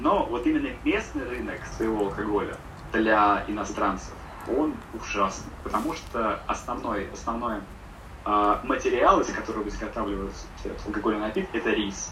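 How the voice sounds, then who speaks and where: A man at a moderate pace with long, frequent pauses, plus noticeable background noise and audible room echo. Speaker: podcast guest living abroad. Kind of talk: casual chat.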